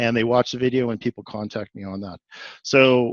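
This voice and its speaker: Talking at a fairly quick pace, a man has a medium-pitched voice and an ordinary speaking voice. The background is quiet, and the sound is dry and close with no echo. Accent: Canadian. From Canada, Edmonton, Alberta. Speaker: executive coach and video producer. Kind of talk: webinar presentation.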